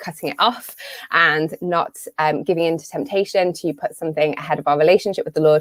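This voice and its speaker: In a British accent, a woman with a fairly low voice speaks at a fairly quick pace, the sound dry and close with no echo. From UK. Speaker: business coach and marketer. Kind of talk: live webinar talk. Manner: casual with many fillers.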